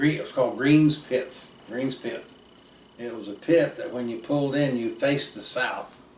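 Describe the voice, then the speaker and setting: Through noticeable background noise and audible room echo, a man with an American accent speaks at a moderate pace with ordinary pitch variation. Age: 60s. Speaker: storyteller relative. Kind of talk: casual storytelling. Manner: halting.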